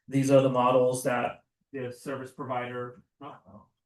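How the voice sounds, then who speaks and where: A man's voice comes through at a medium pitch. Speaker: seminar presenter. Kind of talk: lecture.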